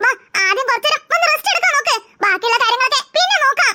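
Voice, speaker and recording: The pitch is extremely high in a cartoonish character voice. It moves at a fairly quick pace. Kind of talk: cartoon character voices.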